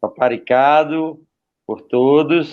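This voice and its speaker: A man's very slow speech with ordinary pitch variation. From Paraíba, Brazil (Campina Grande). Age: 40s. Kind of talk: testimony.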